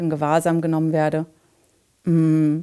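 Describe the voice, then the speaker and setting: A woman's fairly low, dark, mellow voice at a fairly slow pace over a quiet background. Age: 40s. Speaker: climate activist. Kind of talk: testimony; interview answer. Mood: calm, reflective.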